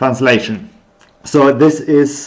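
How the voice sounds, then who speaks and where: With a German accent, a man speaks with ordinary pitch variation. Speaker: researcher streaming their work. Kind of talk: unscripted live stream thinking aloud. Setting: live stream. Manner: halting, many fillers.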